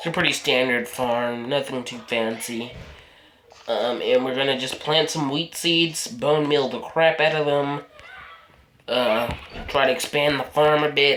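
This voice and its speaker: Rather slow speech unfolds against clear background noise. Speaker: gaming youtuber. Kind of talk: let's play commentary. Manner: casual, halting.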